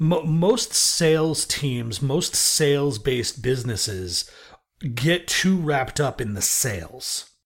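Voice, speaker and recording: Over a very clean recording with a silent background, a man speaks with an American accent at a very slow pace. His intonation is lively and his voice somewhat breathy. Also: fairly high pitch for a man. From US Northeast, Brooklyn, New York. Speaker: music industry sales executive. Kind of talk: interview.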